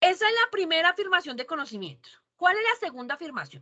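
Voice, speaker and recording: A woman speaks in a raised, projected voice with a bright, sharp tone and very wide pitch swings. The recording is dry and close, with no echo. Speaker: university teacher. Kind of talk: online lecture. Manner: fast; animated.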